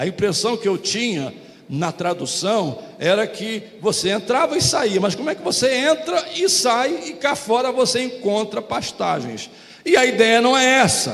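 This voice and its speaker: Noticeable background noise lies under a voice whose pitch swings very widely. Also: man, high pitch for a man. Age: 70s. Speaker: pastor. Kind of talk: sermon.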